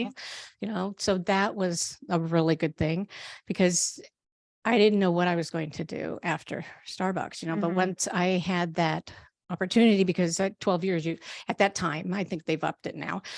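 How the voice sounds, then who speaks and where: A woman with a normal speaking voice, fairly low in pitch, at a moderate pace with fairly even intonation. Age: 60s. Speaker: herbalist. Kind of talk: interview answer.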